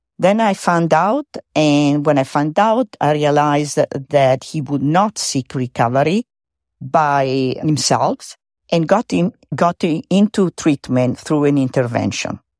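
Recorded very cleanly against a silent background with a dry, close sound and no echo, the speaker uses lively intonation at a fairly slow pace. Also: woman, very deep, low pitch for a woman. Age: old. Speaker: Al-Anon member, grandmother. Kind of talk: voice memo testimony. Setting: recorded voice memo. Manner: hesitant, with fillers.

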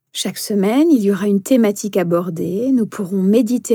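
A woman with a dark, mellow, somewhat breathy voice speaks at a medium pitch and moderate pace with ordinary pitch variation, in a very clean recording with a silent background. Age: 40s. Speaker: meditation instructor and coach. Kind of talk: podcast self-introduction monologue.

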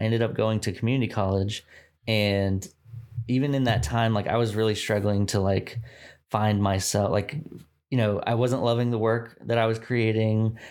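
In a very clean recording with a silent background, a man with an American accent has a normal speaking voice at medium pitch. He keeps a moderate pace and fairly even intonation. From Texas, Dallas suburbs. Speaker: brand designer. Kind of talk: casual interview.

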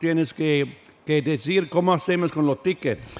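A man's voice with ordinary pitch variation. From Switzerland. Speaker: orchestra conductor. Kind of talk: radio interview. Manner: halting.

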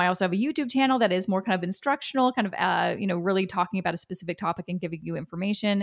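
A woman talking at a very fast pace, with vocal fry, lively intonation, and a dry, close sound free of echo. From Canada. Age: 30s. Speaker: personal finance expert. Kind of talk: interview.

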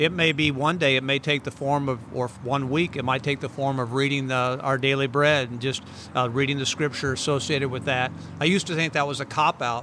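This man has a plain, everyday voice with a fairly high pitch. He speaks at a fairly quick pace with fairly even intonation. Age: 60s. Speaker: pastor. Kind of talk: casual interview chat.

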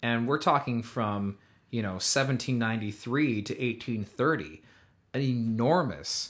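Against a quiet background, a man speaks in a normal speaking voice, fairly low in pitch, with lively intonation. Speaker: podcast host. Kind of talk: casual chat. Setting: studio. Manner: jokey, conversational.

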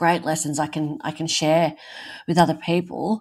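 A woman with an Australian accent at a moderate pace, in a very clean recording with a silent background. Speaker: burns survivor, author, mother. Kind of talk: casual interview.

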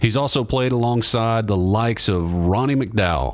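At a moderate pace, a man with a plain, everyday voice speaks at medium pitch with lively intonation. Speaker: music podcast host. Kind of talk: casual interview. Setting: studio.

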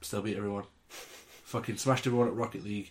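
A man's fairly low voice in a monotone, flat delivery. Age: 20s. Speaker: podcast host. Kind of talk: casual chat.

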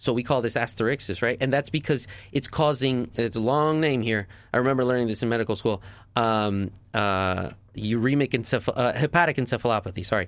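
In a slight New York accent, a man speaks at a fairly quick pace with medium pitch and ordinary pitch variation. His loudness stays very even, and the recording is very clean with a silent background. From New Jersey. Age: 30s. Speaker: doctor. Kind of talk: radio interview.

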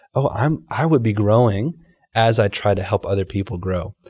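An unremarkable speaking voice in an American accent at a fairly quick pace, in a very clean recording over a silent background. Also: man. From Texas, Dallas. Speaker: pastor. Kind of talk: casual interview.

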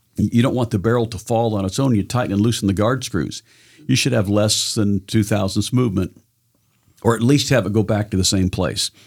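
In a very clean recording with a silent background, a man with an American accent uses an ordinary speaking voice, fairly low in pitch and fairly even in intonation. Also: fairly quick pace. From Southern Oregon. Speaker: gunsmith and benchrest shooter. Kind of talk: casual chat.

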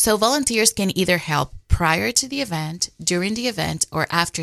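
With a Spanish accent, a woman speaks in a dry, close sound with no echo against a quiet background. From Dominican Republic. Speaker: communications officer for a charity. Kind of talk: radio interview.

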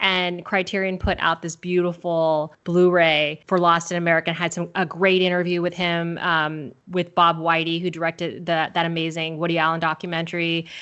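Speaking at a moderate pace with hardly any pauses, a woman with a Californian accent and fairly low pitch keeps her intonation monotone and flat. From Southern California. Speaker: film podcast guest. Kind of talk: casual chat.

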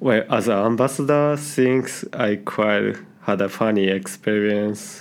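A man with a Japanese accent talks at a fairly slow pace and a fairly low pitch. His loudness stays very even, and his pitch variation is ordinary. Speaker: IT worker. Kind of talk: interview. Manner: halting.

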